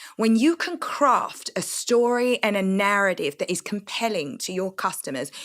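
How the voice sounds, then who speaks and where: A woman speaks with a London accent at medium pitch and a moderate pace, her tone animated. The recording is very clean, with a silent background. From East London, England. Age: 40s. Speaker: entrepreneur. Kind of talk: interview.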